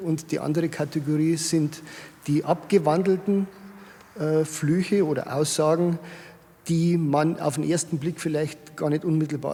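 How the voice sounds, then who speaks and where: Speaking at a fairly slow pace, a man with a fairly high pitch keeps his intonation fairly even. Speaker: retired civil servant and saying collector. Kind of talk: interview.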